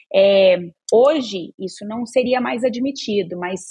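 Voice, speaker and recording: A woman speaks at a very slow pace, her voice somewhat breathy with ordinary pitch variation. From Brazil, interior of Goiás. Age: 40s. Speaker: advertising agency culture and HR executive. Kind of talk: podcast interview. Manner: hesitant fillers.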